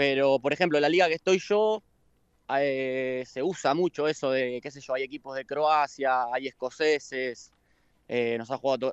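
At a fairly slow pace, an unremarkable speaking voice talks with ordinary pitch variation. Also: man. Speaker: cook. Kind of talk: interview.

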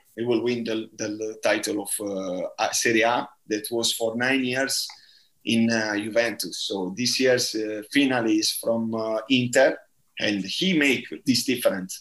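A man with an Italian accent, medium in pitch, at a fairly slow pace with fairly even intonation. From southern Italy, Bari. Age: 30s. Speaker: football coach. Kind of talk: interview. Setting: remote call. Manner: halting.

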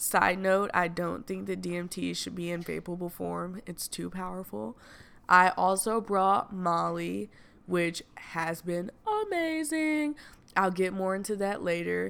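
In a Southern US accent, a woman talks at a fairly slow pace. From US South. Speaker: podcaster. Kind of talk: casual chat. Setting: Airbnb rental.

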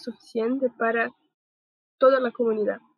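A woman talks with fairly even intonation. Her pitch is fairly high. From Brazil. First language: Portuguese (speaking Spanish). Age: 20s. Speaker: podcast host. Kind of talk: casual panel discussion.

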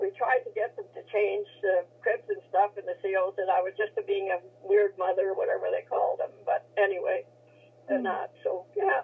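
The speaker uses a Canadian Prairie accent and talks at a moderate pace. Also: woman. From Saskatchewan, Canada. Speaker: military veteran. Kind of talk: interview, reminiscing. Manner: halting.

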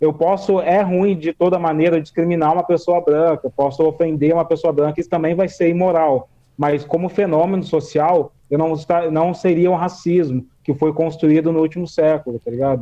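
Keeping a moderate pace, a man speaks at a high pitch with fairly even intonation and very even loudness. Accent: São Paulo interior. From Brazil, Vale do Paraíba (São Paulo interior). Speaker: writer and podcaster. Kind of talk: casual discussion about racism. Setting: remote call via Discord. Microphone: phone earphone mic, odd audio feedback.

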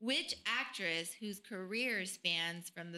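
At a fairly slow pace, a woman talks in a bright, sharp tone with ordinary pitch variation. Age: 30s. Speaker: podcast co-host. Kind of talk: hosting a trivia game; casual chat.

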